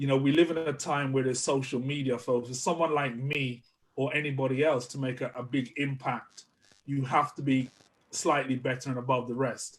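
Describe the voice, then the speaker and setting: A man speaks at a fairly quick pace in a flat monotone. His medium-pitched voice is somewhat breathy. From Jamaica. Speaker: public speaking trainer. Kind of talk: interview. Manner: repetitive, halting starts.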